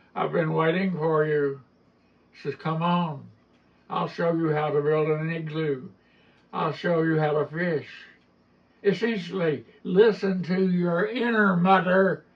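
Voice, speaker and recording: A man with an Appalachian accent and high pitch speaks at a fairly slow pace with ordinary pitch variation and long, frequent pauses. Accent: Appalachian mountain. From Appalachian mountains, US South. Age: 80s+. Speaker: storyteller and author. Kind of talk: storytelling interview at literary festival.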